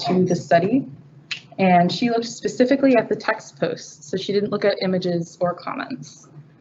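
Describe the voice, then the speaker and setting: A woman speaks at a medium pitch. There is noticeable background noise behind her. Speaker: graduate student researcher. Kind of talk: research presentation. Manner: quiet.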